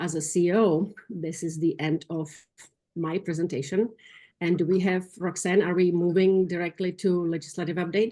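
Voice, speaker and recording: With a non-native accent, a woman talks at a fairly quick pace in a dark, mellow tone and a fairly low pitch against a quiet background. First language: not English. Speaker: nonprofit CEO. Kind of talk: business meeting report. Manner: halting.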